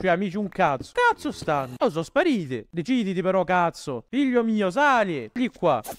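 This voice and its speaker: With hardly any pauses, a high-pitched man swings very widely in pitch, heard in a dry, close recording with no echo. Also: moderate pace. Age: 20s. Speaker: gaming YouTuber. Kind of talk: gameplay commentary. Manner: animated.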